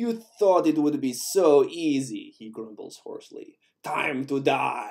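Putting on a character voice, a man speaks with a German accent at a fairly high pitch. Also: fairly slow pace. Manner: grumbling, menacing.

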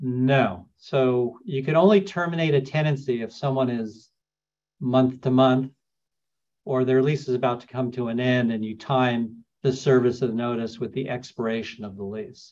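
An ordinary speaking voice of a man with an American accent, medium in pitch, with ordinary pitch variation, at a moderate pace. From New York, raised partly in Los Angeles. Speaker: landlord attorney. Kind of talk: webinar lecture. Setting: Zoom webinar. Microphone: video call.

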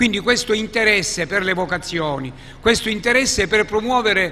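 A man's raised, projected voice at a high pitch, moderate pace, over noticeable background noise. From Sicily. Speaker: archbishop. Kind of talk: book presentation talk.

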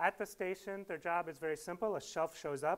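The man's voice sits high in pitch. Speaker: speaker. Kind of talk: lecture. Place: hall. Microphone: lapel.

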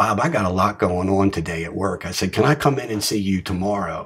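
Fairly quick delivery from a man in an American accent, noticeable noise in the background. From Maryland, US. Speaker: recovering addict sharing story. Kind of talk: recovery share, personal testimony.

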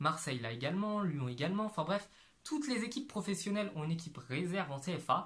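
This man talks at a fairly quick pace. His pitch swings very widely. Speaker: YouTuber, amateur footballer; YouTuber. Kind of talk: explainer video monologue; explainer vlog talk. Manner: casual, filler-heavy. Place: home room. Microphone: lapel.

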